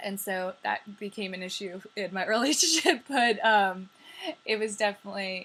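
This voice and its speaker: A woman with an American accent speaks at a medium pitch and a moderate pace, with ordinary pitch variation. Her tone is bright and sharp, and her loudness swings widely. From New York. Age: 20s. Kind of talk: casual talk to camera. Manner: chatty, upbeat.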